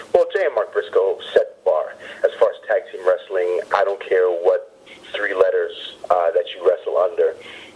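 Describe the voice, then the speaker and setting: Noticeable background noise sits under a voice that speaks in a flat monotone at a moderate pace. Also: man, extremely high pitch for a man. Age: 30s. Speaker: pro wrestler. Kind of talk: interview. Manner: halting.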